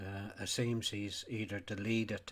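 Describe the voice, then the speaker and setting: A man talks at a fairly slow pace with a Donegal accent. His fairly low voice stays monotone and flat. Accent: Irish, Donegal. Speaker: sheep farmer. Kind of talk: casual talk to camera.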